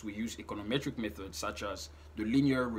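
Ordinary pitch variation marks this man's speech. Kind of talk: explanatory talk to camera. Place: home room. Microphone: phone near.

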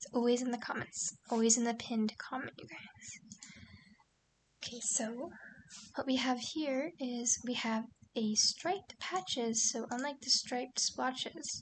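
A woman speaks quietly at a high pitch, with ordinary pitch variation. Her loudness swings widely, and she leaves long, frequent pauses. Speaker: gaming YouTuber. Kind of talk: gameplay commentary.

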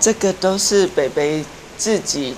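A woman at a very slow pace, with noticeable background noise. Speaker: tourist. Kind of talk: interview answer. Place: home room. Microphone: lapel.

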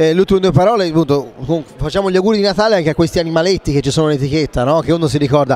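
A fairly high-pitched man with ordinary pitch variation, over music in the background. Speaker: wine show host. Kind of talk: casual interview chat.

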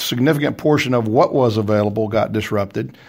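The speaker has a slight Texas accent, and the recording is very clean with a silent background. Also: man. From Texas, small town. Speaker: company CEO. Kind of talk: radio interview. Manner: hesitant, many fillers.

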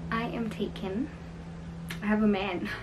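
Over noticeable background noise, a woman with a South African accent speaks at a fairly slow pace. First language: Sepedi. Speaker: YouTuber. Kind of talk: casual get-to-know-me Q&A vlog. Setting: filming in her bedroom. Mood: cheerful, relaxed. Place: home room. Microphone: camera far.

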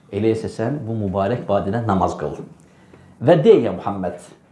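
At a moderate pace, a man talks in a dark, mellow tone, with audible room echo. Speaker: religious lecturer. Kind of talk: lecture. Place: home room. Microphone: podium.

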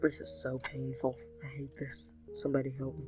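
Faint music plays in the background as the speaker goes at a fairly slow pace. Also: woman, dry sound with no echo. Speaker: gamer. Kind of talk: casual gameplay commentary. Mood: playful, mock-complaining. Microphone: webcam.

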